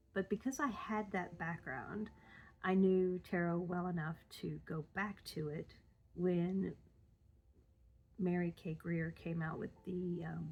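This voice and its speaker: A woman speaks very slowly, with long, frequent pauses and a somewhat breathy voice. Her pitch is fairly low, with ordinary variation. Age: 50s. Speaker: tarot vlogger. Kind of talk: casual vlog talk. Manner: rambling, hesitant with many ums.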